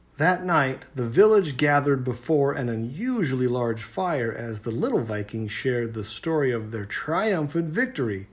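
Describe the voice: The speaker uses plain reading aloud with lively intonation.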